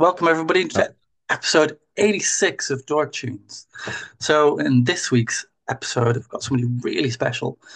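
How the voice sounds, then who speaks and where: A man with an Irish accent at a moderate pace. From Ireland, near Dublin. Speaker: podcast host. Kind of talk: casual interview chat.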